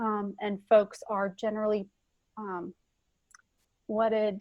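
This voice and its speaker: A woman with a normal speaking voice talks at a fairly slow pace and fairly high pitch, recorded with a dry, close sound, no echo, and a quiet background. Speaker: school HR and payroll administrator. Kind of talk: conference presentation. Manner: frequent filler words.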